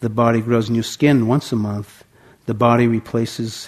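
Someone reads aloud here in a natural voice.

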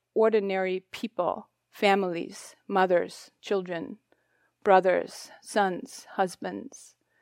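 In a German accent, a woman speaks at a very slow pace and medium pitch with monotone, flat intonation, recorded dry and close with no echo, very clean, against a silent background. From Germany. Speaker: meditation teacher. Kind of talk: dharma talk. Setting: retreat hall with audience.

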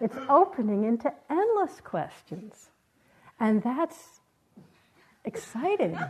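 A woman speaks very slowly, pausing long and often. Her high voice swings very widely in pitch. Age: 70s. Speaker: meditation teacher. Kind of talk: dharma talk. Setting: meditation retreat with audience.

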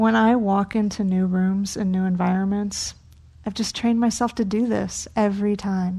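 Against a quiet background, a woman speaks fairly slowly at medium pitch in a dark, mellow, warm, gentle tone, somewhat breathy with monotone, flat intonation. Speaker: meditation teacher. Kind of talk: guided meditation and dharma talk. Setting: meditation hall at a retreat center. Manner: slow, gentle, soothing, calm and unhurried; warm, inviting, soft-spoken.

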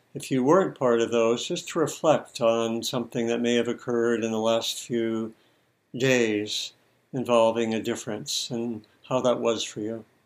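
In a very clean recording with a silent background, a man with an unremarkable speaking voice speaks at medium pitch with fairly even intonation. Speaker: meditation teacher. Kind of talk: guided meditation. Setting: live group meditation session. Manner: slow, calm, soft-spoken; measured, with long pauses.

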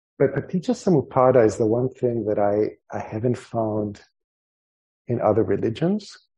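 A man speaks at a moderate pace in a medium pitch, his dark, mellow tone somewhat breathy and his intonation lively. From El Salvador. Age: 50s. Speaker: meditation teacher. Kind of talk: dharma talk. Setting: meditation hall with audience.

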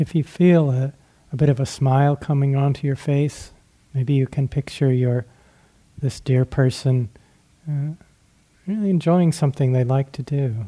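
A man speaks at a fairly high pitch in a gentle, soothing, dark and mellow tone that is somewhat breathy, with fairly even intonation. Long, frequent pauses break up his speech, and the sound is dry and close with no echo. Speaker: meditation teacher. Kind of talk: guided meditation. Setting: retreat. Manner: slow, gentle, soothing; halting, with frequent pauses.

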